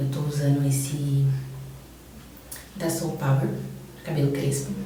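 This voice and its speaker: Through noticeable background noise and audible room echo, a woman speaks with a very deep, low pitch. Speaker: beauty vlogger. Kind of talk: casual chat.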